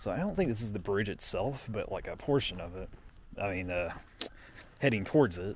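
Light background noise sits under a man's fairly quick speech, with a dry sound and no echo. His voice is fairly low and somewhat breathy, with lively intonation. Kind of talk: casual exploration vlog narration. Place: open country. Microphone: phone near.

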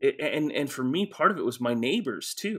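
A man speaks with an American accent. The background is quiet. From Texas, Houston area; Texas. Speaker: pastor and author; podcast guest, pastor. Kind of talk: casual interview. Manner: hesitant, many fillers. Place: office.

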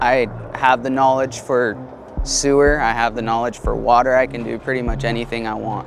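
Over music in the background, a man speaks in a flat monotone at a moderate pace, the sound dry with no echo. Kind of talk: interview answer. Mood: relaxed, occasional laughs. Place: street. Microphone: lapel.

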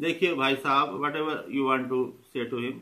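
Bright and sharp in tone, a man with an Indian accent speaks at a fairly high pitch. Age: 40s. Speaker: YouTuber. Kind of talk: motivational talk. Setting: filmed by a friend. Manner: halting. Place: home room. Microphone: phone near.

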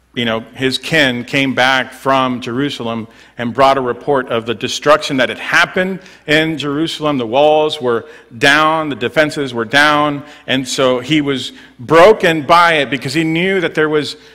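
A man's bright, sharp tone at a moderate pace with ordinary pitch variation over a quiet background. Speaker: preacher. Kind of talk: sermon. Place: church. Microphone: headset.

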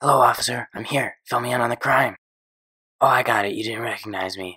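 Putting on a character voice, a man speaks raspily at a medium pitch and a fairly quick pace. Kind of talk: absurd animated comedy. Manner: deadpan, self-important, easily offended.

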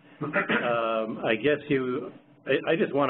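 A man talks in a plain, everyday voice at a medium pitch with fairly even intonation, over light background noise. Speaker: principal investigator of a research observatory. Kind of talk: online project meeting. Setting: video call. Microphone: video call.

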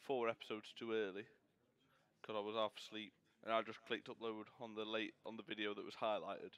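A man's medium-pitched voice at a very fast pace, monotone and flat in intonation. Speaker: gaming YouTuber. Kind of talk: gameplay commentary. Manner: casual, halting.

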